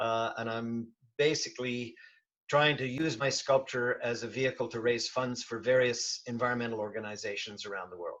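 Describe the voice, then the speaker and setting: At a moderate pace, a man talks in an ordinary speaking voice with a medium pitch. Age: 60s. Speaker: bronze sculptor and diving industry veteran. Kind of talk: casual interview chat.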